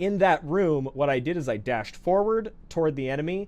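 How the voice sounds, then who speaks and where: A man with lively intonation. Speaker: gaming streamer. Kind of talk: live gameplay tutorial. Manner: fast.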